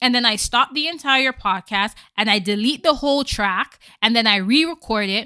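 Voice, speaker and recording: On a very clean recording with a silent background and a dry, close sound with no echo, a woman speaks at a moderate pace in an animated, bright, sharp tone, fairly high in pitch with ordinary pitch variation. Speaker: podcast host. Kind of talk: casual monologue. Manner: stutters at times.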